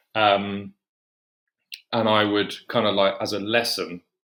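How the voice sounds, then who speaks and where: On a very clean recording with a silent background, a man speaks with an English accent. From England. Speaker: horror writer. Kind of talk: interview conversation. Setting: podcast. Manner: casual, filler-heavy.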